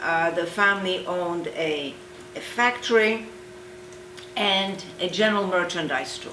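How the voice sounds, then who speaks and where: A woman speaks at a fairly slow pace in a medium-pitched voice with ordinary pitch variation, with noticeable background noise and audible room echo. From Poland. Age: 70s. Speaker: Holocaust survivor. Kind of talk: oral history interview.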